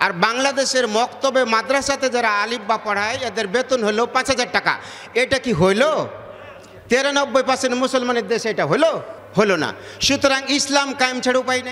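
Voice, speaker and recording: A man speaks at an extremely high pitch in a raised, projected voice. His intonation stays fairly even. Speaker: Islamic preacher. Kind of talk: religious sermon to a gathering. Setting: outdoor public gathering, PA system.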